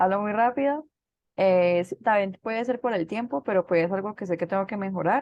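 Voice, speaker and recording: A woman talks at a fairly quick pace with a medium pitch and ordinary pitch variation. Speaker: student preacher. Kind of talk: casual reflection. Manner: fast.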